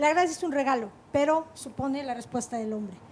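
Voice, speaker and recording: A woman's high voice with ordinary pitch variation at a fairly quick pace. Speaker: teacher. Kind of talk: talk show discussion. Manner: fast.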